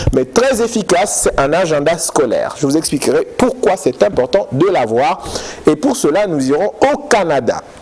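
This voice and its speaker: A man speaks with music in the background. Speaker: TV education magazine host. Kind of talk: TV magazine presenting and interview. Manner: loud.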